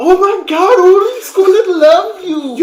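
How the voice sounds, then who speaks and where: The pitch here is extremely high. It belongs to a put-on character voice. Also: fairly slow pace. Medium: actual play. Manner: repeats heard phrases exactly.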